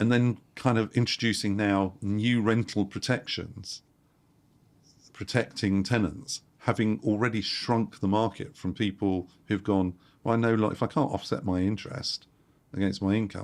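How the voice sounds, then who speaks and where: On a very clean recording with a silent background, a man speaks at a fairly low pitch with very even loudness. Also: moderate pace. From London, England. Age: 60s. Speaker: property investor. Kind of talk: interview. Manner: animated.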